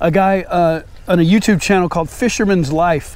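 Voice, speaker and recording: A man with a high pitch talks at a fairly quick pace, the sound dry with no echo. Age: 50s. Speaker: fishing YouTuber. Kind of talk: casual vlog narration. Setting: outdoors. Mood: relaxed, pleased. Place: waterside.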